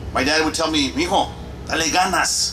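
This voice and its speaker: Audible room echo and noticeable background noise around a man's fairly slow speech. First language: Spanish. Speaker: retired army officer. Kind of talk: memorial ceremony speech.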